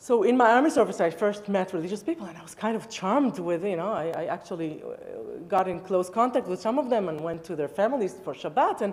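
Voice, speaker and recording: Speaking at a fairly quick pace, a woman with an Israeli accent uses lively intonation at a medium pitch. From Israel, Tel Aviv area. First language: Hebrew. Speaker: rabbi. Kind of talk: public talk. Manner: halting.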